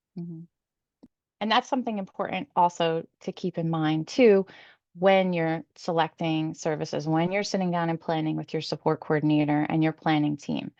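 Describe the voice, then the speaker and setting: A woman with a normal speaking voice talks at a moderate pace and fairly low pitch, with ordinary pitch variation. The sound is dry and close, with no echo. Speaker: support coordinator. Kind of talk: presentation.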